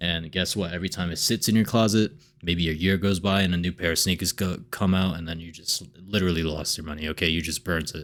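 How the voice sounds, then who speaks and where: The recording is very clean, with a silent background. A man with a very deep, low pitch talks at a very fast pace. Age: 20s. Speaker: personal finance YouTuber. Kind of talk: casual vlog monologue. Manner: animated; halting with fillers and repetitions.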